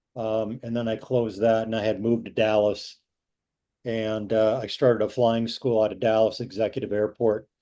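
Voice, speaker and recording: Against a quiet background, a man with an American accent talks at a moderate pace and medium pitch. His tone is dark and mellow, his intonation monotone and flat. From Wisconsin, US Midwest. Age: 60s. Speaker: retired airline pilot. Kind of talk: public meeting presentation. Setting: video call. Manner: halting, many fillers.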